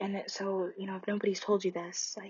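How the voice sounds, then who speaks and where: Soft-spoken and somewhat breathy, a woman talks at a medium pitch with a gentle tone and monotone, flat intonation. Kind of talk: ASMR comforting roleplay, talking to a friend. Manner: soft-spoken, gentle, caring.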